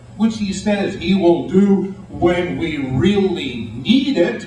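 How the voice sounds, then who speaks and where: A man speaks with high pitch and lively intonation. Audible room echo and noticeable background noise are present. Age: 60s. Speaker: writer and rail advocate. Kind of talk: speech to an audience. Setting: meeting room with audience. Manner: animated.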